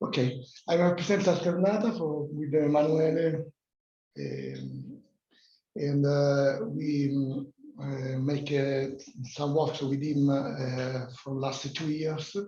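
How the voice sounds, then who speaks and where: Very slow speech in an Italian accent, with audible room echo. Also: man, fairly high pitch for a man, ordinary pitch variation. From Italy, near Rome (Tivoli). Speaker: workshop participant, digital heritage company representative. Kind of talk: self-introduction presentation at workshop. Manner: halting, many hesitations.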